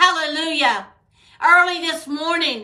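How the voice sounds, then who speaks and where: Raised and projected against a quiet background, a woman's bright, sharp voice sits at an extremely high pitch, moving at a fairly slow pace with fairly even intonation. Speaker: preacher. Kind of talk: sermon with prayer. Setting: video recording for online viewers. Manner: fervent, exhortative, call-and-response style; rhythmic, repetitive, with frequent hallelujahs.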